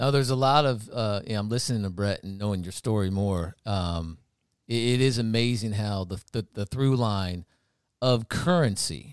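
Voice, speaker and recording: On a very clean recording with a silent background, a man speaks at a moderate pace. He has an unremarkable speaking voice with ordinary pitch variation. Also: fairly low pitch for a man. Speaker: podcast host. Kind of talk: casual chat.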